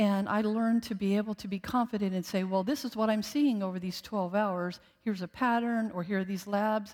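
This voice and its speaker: Her medium-pitched voice, an ordinary speaking voice, moves at a fairly quick pace with hardly any pauses and fairly even intonation, on a very clean recording with a silent background. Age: 60s. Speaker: guest preacher, former ICU nurse. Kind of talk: sermon. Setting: church service with congregation.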